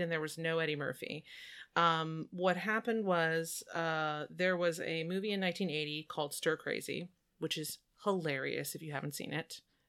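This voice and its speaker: The recording is very clean and the background silent. It captures a woman's voice. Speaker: podcast co-host. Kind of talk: casual chat. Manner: animated.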